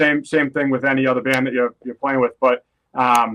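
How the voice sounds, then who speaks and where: A man with a Boston accent talks at a moderate pace, fairly high in pitch and flat in a monotone. The sound is dry and close, with no echo. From Boston, US. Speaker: metal guitarist. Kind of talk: podcast interview. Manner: casual, with fillers.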